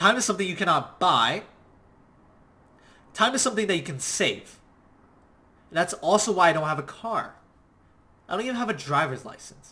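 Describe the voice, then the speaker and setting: Loud and very fast, the voice makes very wide pitch swings. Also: man. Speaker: online business coach. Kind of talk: motivational talk. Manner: passionate.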